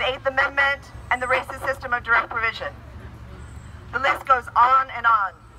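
There is loud background noise behind this woman. She talks at a fairly quick pace with long, frequent pauses. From Ireland. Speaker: activist. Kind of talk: impassioned protest speech delivered as a prepared statement. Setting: outdoor street protest. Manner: indignant and forceful, building rhetorical repetition. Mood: indignant, earnest. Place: street.

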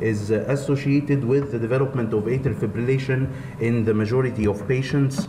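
A man's speech comes through with noticeable noise in the background. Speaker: lecturer at a medical congress. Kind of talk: lecture. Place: hall.

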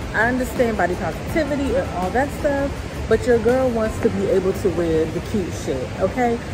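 Music plays behind the speech. A woman talks at a moderate pace. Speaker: fashion vlogger. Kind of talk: casual vlog chat. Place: street. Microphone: phone near.

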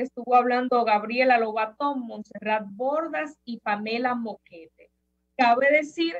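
A very slow pace against a quiet background. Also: woman. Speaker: opinion commentator. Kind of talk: commentary. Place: home room. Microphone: webcam.

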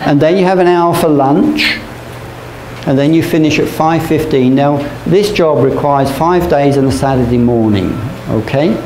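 A man speaks at a moderate pace with ordinary pitch variation and very even loudness. Light background noise and audible room echo are present. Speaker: teacher. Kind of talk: lecture. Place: classroom. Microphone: camera far.

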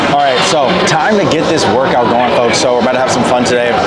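Through loud background noise, a man talks at a fairly quick pace with ordinary pitch variation. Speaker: fitness trainer vlogger. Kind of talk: casual vlog chat. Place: gym. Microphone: phone near.

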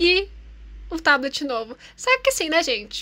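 The voice is raised and projected, with a bright, sharp tone. It moves at a fairly slow pace. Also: woman. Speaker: YouTuber and artist. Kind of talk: casual vlog talk while drawing.

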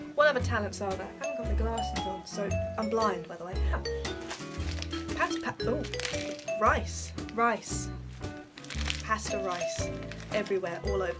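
Over loud background music, a woman with a British accent talks at a fairly slow pace. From England. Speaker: vlogger. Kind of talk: casual talk to camera. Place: home room. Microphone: webcam.

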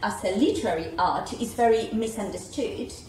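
A woman's fairly high, lively voice with a Uruguayan accent at a fairly slow pace, amid audible room echo and noticeable background noise. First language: Spanish. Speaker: translation studies scholar. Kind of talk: panel discussion. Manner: halting.

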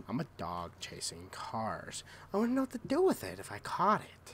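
A man uses a guttural, put-on character voice at a moderate pace. Clear background noise is present. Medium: tutorial demo.

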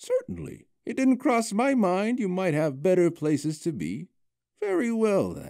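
Doing a put-on character voice, a man speaks at a moderate pace in a high pitch. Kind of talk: fantasy story reading. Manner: warm, gentle, whimsical.

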